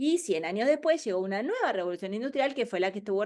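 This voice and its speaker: Talking at a very fast pace, a woman's voice swings very widely in pitch. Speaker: webinar speaker on future trends. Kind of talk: webinar presentation.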